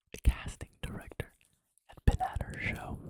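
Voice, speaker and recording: The voice is whispering at a fairly slow pace. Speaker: ASMR content creator. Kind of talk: ASMR narration of a movie script read in first person. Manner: whispered, soft, narrating.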